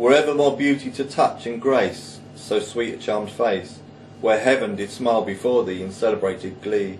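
Spoken with a Cockney accent at a moderate pace, the clip has light background noise. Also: man. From London (East End). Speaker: poet. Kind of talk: poetry reading. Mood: calm, romantic recitation. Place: home room. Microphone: camera far.

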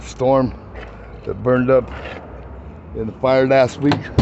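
Noticeable background noise sits behind a man's voice. The sound stays dry, without echo. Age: 60s. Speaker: RV owner, former motorcycle builder. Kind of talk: casual walkthrough talk to camera. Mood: upset, frustrated, informal. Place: street. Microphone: phone near.

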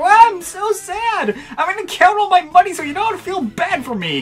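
The speaker puts on a character voice at an extremely high pitch. The pace is moderate. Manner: mocking, whiny, melodramatic.

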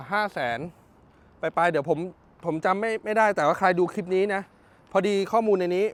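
A loud man with a high-pitched voice. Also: ordinary pitch variation. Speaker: used car dealer / car vlogger. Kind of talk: walkaround sales video.

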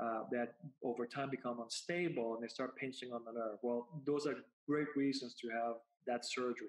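This speaker has a Spanish accent and a moderate pace. The intonation is fairly even. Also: man, medium pitch for a man. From Puerto Rico. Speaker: spine neurosurgeon. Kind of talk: interview. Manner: halting, many repetitions.

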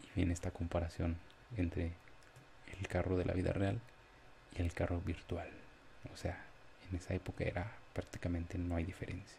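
Very deep and low, a man's monotone, flat voice moves at a moderate pace with long, frequent pauses over light background noise. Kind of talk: casual vlog chat. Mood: nostalgic, relaxed. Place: home room.

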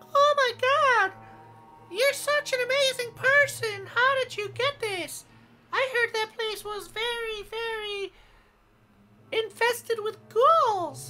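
A squeaky, female-sounding put-on character voice at an extremely high pitch for a woman comes at a fairly slow pace, with long, frequent pauses.

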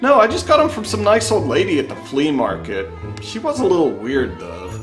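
The speech moves at a moderate pace with clear music in the background. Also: man. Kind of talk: scripted comedic skit dialogue. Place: home room. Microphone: phone near.

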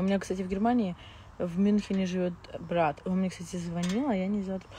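A somewhat breathy woman's voice with a dark, mellow tone at a moderate pace, dry with no echo, over light background noise. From Moscow, Russia; Russia. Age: 20s. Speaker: reality TV personality; blogger. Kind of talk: live stream chat with viewers. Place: garden. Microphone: lapel.

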